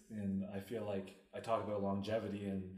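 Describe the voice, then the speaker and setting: A man speaks at a fairly quick pace in a somewhat breathy, dark, mellow voice with fairly low pitch, and the room echo is audible. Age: 30s. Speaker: podcast co-host. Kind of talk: casual chat.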